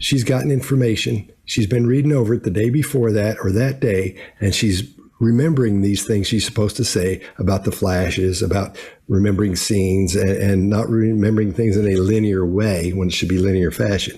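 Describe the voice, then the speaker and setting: Somewhat breathy, a man speaks at a fairly quick pace in a fairly low pitch with a dark, mellow tone, ordinary pitch variation and very even loudness. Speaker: body language analyst. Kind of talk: video commentary analysis. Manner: fast; halting, repeats words.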